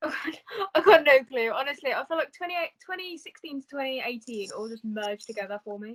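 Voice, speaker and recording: Speech moves at a fairly quick pace with very wide pitch swings and big swings in loudness. The sound is dry and close, with no echo. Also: woman, high pitch for a woman. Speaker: college student. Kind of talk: casual chat.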